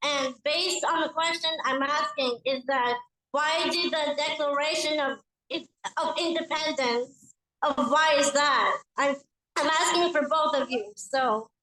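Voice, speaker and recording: Her voice raised and projected, a woman with a high pitch and bright, sharp tone speaks at a fairly slow pace, keeping very even loudness and fairly even intonation. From Bulgaria. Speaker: audience member. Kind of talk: audience question. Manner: halting.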